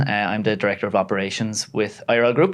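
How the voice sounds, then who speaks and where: A man talks in an Irish accent with ordinary pitch variation. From Ireland. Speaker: operations director. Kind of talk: podcast interview.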